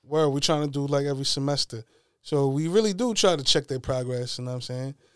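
A fairly quick, fairly high-pitched man with a New York accent, on a very clean recording with a silent background. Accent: New York City. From Queens, New York. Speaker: hip-hop media personality. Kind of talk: casual chat. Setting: studio.

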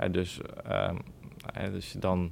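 A man talks in a very deep, low voice. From Netherlands, Bommelerwaard (Gelderland). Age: 20s. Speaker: greenhouse grower. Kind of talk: interview. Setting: on location at the nursery. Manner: halting, many filler words.

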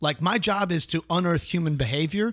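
A man's fairly high voice with an American accent, an ordinary speaking voice, fairly quick delivery and ordinary pitch variation, on a very clean recording with a silent background. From US Midwest, Chicago. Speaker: actor. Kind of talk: casual chat.

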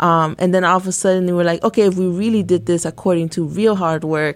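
A woman speaks with a normal speaking voice at a fairly low pitch. The recording is very clean, with a silent background. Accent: American. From Santa Ana, California. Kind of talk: casual academic discussion. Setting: studio.

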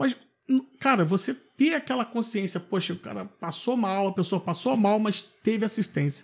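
On a very clean recording with a silent background, a man with a high voice talks at a moderate pace with ordinary pitch variation. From Brazil, Valença, Rio de Janeiro state. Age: 30s. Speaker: city councillor and dentist. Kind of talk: interview. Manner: hesitant, many fillers.

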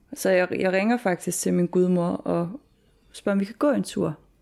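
A woman's voice sits at a fairly low pitch with a dark, mellow tone. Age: 20s. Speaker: student and former heavy drinker. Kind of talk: personal testimony interview. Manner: halting.

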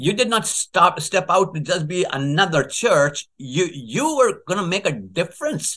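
Bright and sharp in tone, a man's voice sits at a high pitch. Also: lively intonation, fairly slow pace. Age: 70s. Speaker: leadership consultant and former pastor. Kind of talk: interview.

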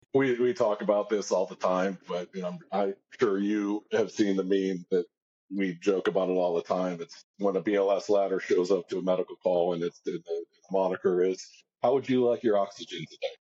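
A man with a plain, everyday voice, an American accent and fairly low pitch, at a moderate pace with fairly even intonation. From Cincinnati, Ohio. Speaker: fire lieutenant. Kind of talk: casual chat.

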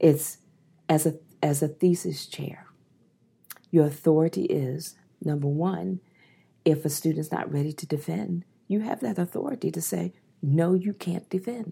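A woman with an American accent speaks at a moderate pace in a very deep, low voice, her tone dark and mellow and somewhat breathy, her intonation lively, with long and frequent pauses. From US, Eastern Shore of Maryland. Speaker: public health physician and dean. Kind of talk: interview.

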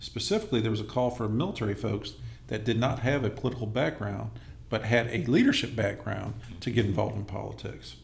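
A man with an American accent speaks very fast at a medium pitch, with vocal fry and fairly even intonation. Room echo is audible. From Los Angeles area, California. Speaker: congressional candidate, army veteran. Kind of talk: interview.

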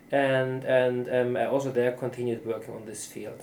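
Dark, mellow tone with a German accent. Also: man. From southern Germany, near Austria. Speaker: neuropsychologist and professor. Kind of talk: interview. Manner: halting.

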